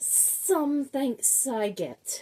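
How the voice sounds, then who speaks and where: A woman's high-pitched, put-on character voice. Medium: read story. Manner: hissing.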